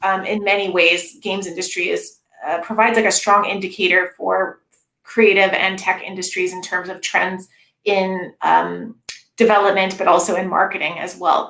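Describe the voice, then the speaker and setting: Her voice is bright and sharp at a medium pitch for a woman. She speaks in a monotone, flat way. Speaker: games studies researcher. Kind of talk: academic talk Q&A. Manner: fast.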